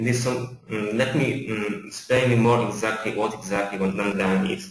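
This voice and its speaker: With noticeable background noise, a man of medium pitch speaks with ordinary pitch variation. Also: moderate pace. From Poland. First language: Polish. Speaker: account manager at software company. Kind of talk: webinar presentation. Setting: online webinar. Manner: halting, many fillers and repetitions.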